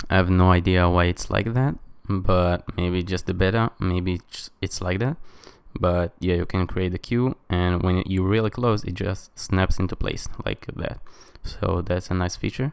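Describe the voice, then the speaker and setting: In a very clean recording with a silent background, a man with a very deep, low pitch and a non-native accent speaks at a fairly slow pace with fairly even intonation. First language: not English. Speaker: tech reviewer. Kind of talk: tutorial. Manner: casual, many fillers.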